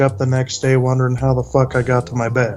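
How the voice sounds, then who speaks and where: A man speaks with an American accent. Music plays in the background. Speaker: interviewee sharing drug experiences. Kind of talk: interview testimony. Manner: monotone; hesitant with fillers.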